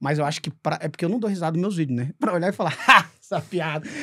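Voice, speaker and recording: In a very clean recording with a silent background, a man speaks in a high voice with ordinary pitch variation. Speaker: stand-up comedian. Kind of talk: podcast conversation. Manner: fast.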